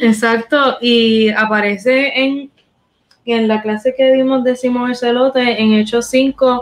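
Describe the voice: A woman with a fairly high pitch speaks slowly, her intonation fairly even.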